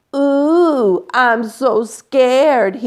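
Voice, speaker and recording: A woman's put-on character voice, high in pitch. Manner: mocking, fake-frightened.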